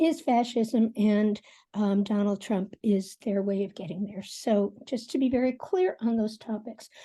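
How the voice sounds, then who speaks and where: A woman with an American accent speaks at a moderate pace, her tone dark and mellow and somewhat breathy. Her pitch sits fairly high for a woman, with ordinary variation, and the background is quiet. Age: 60s. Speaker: forum participant. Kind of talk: panel discussion.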